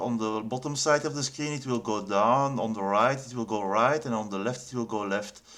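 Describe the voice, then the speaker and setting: A man speaks with a non-native accent. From Belgium. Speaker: game developer. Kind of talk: tutorial. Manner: halting, many fillers and repeats.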